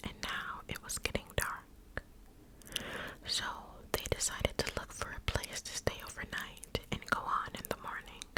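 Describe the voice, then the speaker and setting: Against noticeable background noise, a woman whispers at a fairly slow pace. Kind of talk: ASMR whispered story reading. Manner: whispered, soft, slow.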